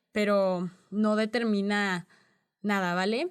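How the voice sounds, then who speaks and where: A woman speaks in a monotone, flat intonation at a medium pitch on a very clean recording with a silent background. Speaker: podcast host. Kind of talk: educational podcast monologue.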